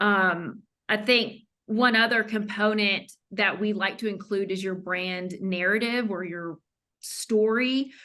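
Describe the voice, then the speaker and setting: Against a quiet background, a woman with a Southern US accent speaks very slowly in a medium pitch, her tone bright and sharp and her intonation fairly even. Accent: Southern US, lighter than her mother's. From US South. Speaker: branding consultant. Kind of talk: podcast interview. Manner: frequent fillers and self-restarts.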